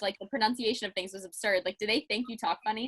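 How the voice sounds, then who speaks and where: A bright, sharp voice in a Pittsburgh accent races along at a very fast pace with fairly even intonation, captured in a dry, close sound with no echo. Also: woman. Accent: Pittsburghese. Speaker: podcast host. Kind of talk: casual interview chat.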